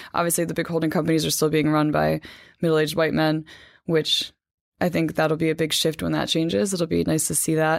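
On a very clean recording with a silent background, a woman with a very deep, low pitch talks at a fairly quick pace with monotone, flat intonation and very even loudness. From New Jersey, US. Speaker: magazine editor. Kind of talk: casual interview.

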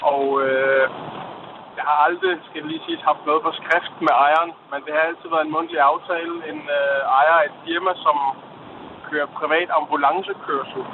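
Fairly high-pitched man at a fairly slow pace with monotone, flat intonation, amid noticeable background noise. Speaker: caller. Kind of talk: phone-in call. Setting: phone call from a car.

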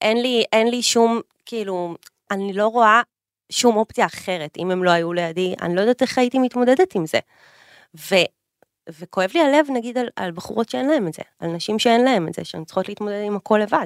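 A woman's voice with lively intonation, a very clean recording over a silent background, and a dry, close sound with no echo. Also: fairly high pitch for a woman, fairly quick pace. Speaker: influencer and businesswoman. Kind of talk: casual chat. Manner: loud. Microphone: echo in the room.

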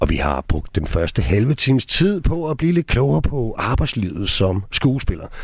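A man with a medium pitch speaks at a fairly slow pace with hardly any pauses, his pitch swinging very widely. His loudness stays very even, and there is noticeable background noise. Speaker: radio host. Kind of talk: radio interview. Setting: studio.

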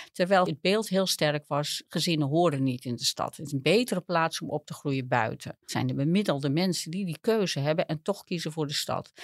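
In a very clean recording with a silent background and a dry, close sound with no echo, a woman with a very deep, low pitch speaks at a fairly quick pace with hardly any pauses. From Netherlands, small village. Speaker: urban geographer. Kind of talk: interview. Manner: halting.

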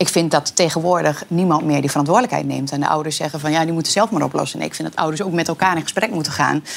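Over noticeable background noise, a woman speaks at a very fast pace with hardly any pauses. Her voice is very deep and low, with ordinary pitch variation. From Twente, eastern Netherlands. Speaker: talk show guest. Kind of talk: casual chat. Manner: halting.

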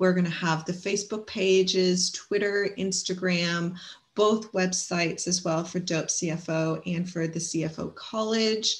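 A woman with a medium pitch is speaking. She talks at a fairly slow pace. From Canada. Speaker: podcast host for bookkeeping business. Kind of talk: interview. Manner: enthusiastic.

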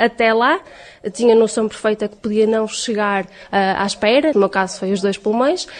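At a moderate pace, a woman talks in a fairly high pitch with ordinary pitch variation over noticeable background noise. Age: 20s. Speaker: lung transplant patient. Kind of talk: interview testimony.

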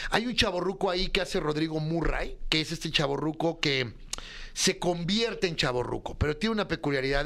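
A man speaks at a fairly high pitch and a moderate pace, with ordinary pitch variation. He has a plain, everyday voice. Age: 40s. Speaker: comedy writer. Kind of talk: casual chat.

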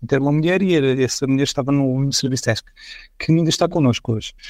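A man talks in a fairly high pitch with fairly even intonation. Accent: European Portuguese. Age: 40s. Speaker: IT executive. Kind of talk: podcast interview.

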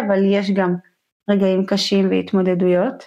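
Monotone, flat intonation and a dark, mellow tone against a quiet background. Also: woman. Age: 30s. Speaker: podcast host, hydrotherapist. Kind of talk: casual chat.

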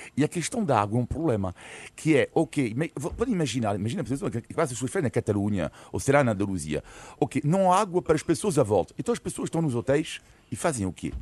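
Speaking very fast with vocal fry, a man at medium pitch swings his pitch very widely, recorded dry and close with no echo against a quiet background. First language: French (speaking Portuguese). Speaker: political commentator. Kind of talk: radio panel debate. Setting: radio studio.

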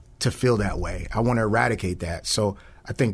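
On a very clean recording with a silent background, a man with an American accent and vocal fry talks at a moderate pace. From Peoria, Illinois (South Peoria). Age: 40s. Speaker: school safety director, former police officer. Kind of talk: casual interview chat. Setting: studio.

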